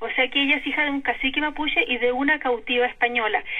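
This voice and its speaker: Noticeable background noise surrounds a woman's high-pitched voice, which has ordinary pitch variation. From Chile, Concepción. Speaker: novelist and historian. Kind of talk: interview. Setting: phone call.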